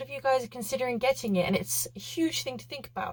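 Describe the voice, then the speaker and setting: A woman with a British accent shows vocal fry and very wide pitch swings. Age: 20s. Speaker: vlogger and yacht chef. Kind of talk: casual vlog chat. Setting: small cabin on a boat. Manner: casual, hesitant with many fillers.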